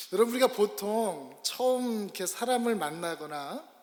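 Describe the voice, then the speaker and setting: The speaker is a man. His intonation is lively. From Korea. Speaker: pastor. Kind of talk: sermon. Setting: church.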